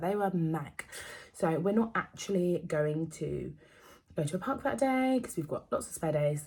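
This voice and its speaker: A woman with an English accent, a somewhat breathy, dark and mellow tone, fairly low pitch, lively intonation and a fairly quick pace. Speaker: vlogger. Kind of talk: casual chat. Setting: at home. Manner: fast.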